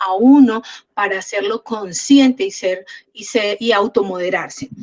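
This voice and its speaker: A woman with a Cúcuta accent speaks at a fairly slow pace in a fairly high pitch, with ordinary pitch variation and a dry, close sound with no echo. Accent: Cúcuta accent, people think she is scolding. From Cúcuta, Colombia. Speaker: program host. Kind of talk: interview. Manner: loud, forceful.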